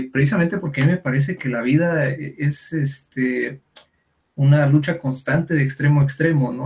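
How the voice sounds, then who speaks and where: Somewhat breathy and at a fairly high pitch, a man speaks at a moderate pace with monotone, flat intonation. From Durango, Mexico. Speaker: psychologist. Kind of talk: casual chat. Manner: halting, many fillers.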